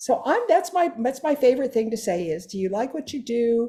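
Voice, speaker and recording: A dark, mellow tone comes through at a fairly quick pace. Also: woman. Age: 80s+. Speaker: direct sales leader. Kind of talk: testimony. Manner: animated.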